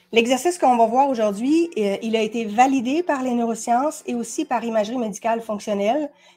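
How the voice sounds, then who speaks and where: A woman with a Quebec accent speaks fairly quickly with hardly any pauses. Her fairly high voice has a dark, mellow tone and ordinary pitch variation. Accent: Québécois French. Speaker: body language expert and coach. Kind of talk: educational talk. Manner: fast; animated.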